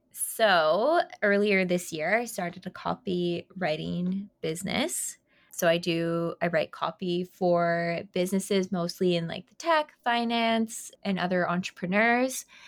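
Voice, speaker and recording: A woman with an unremarkable speaking voice, medium pitch and ordinary pitch variation, at a fairly slow pace with big swings in loudness, in a very clean recording with a silent background. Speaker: podcast co-host. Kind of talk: casual chat.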